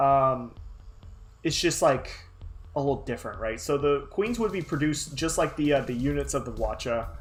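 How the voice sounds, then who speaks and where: A man is talking. His pace is moderate, and music plays behind him. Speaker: artist livestreamer. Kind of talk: casual livestream chat while drawing. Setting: livestream. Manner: halting, many fillers.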